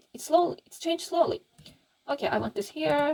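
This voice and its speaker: Very wide pitch swings in a non-native accent. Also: woman. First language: not English. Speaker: Blender 3D tutorial youtuber. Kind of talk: tutorial. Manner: halting, many fillers.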